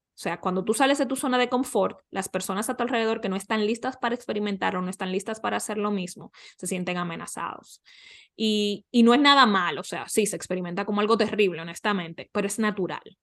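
A woman at medium pitch and a very fast pace, with ordinary pitch variation over a quiet background. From Dominican Republic. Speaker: life coach. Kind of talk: interview conversation.

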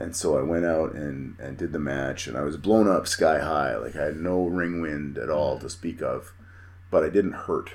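A man speaks at a moderate pace with a Canadian Prairies accent. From Manitoba, Canada. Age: 40s. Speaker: professional wrestler. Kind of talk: casual chat.

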